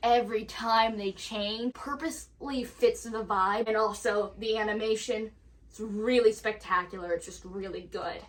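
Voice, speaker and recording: A woman with a normal speaking voice and an American accent talks at a moderate pace, her fairly high pitch carried in fairly even intonation. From United States. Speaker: puppetry fan reviewer. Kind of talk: casual talk to camera.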